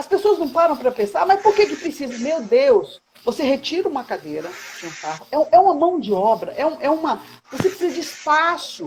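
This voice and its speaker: This woman's voice sits at an extremely high pitch and swings very widely. She speaks at a fairly quick pace. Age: 60s. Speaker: caregiver advocate, online live host. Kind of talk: casual live chat. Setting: Instagram live video call. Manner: halting, many repetitions.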